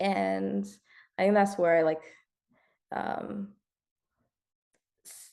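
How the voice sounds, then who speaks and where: A woman's very deep, low voice with a dark, mellow tone, very wide pitch swings, a very slow pace and long, frequent pauses. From US, army family, moved around. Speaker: artist and curator. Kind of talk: interview conversation. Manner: hesitant, halting; quiet.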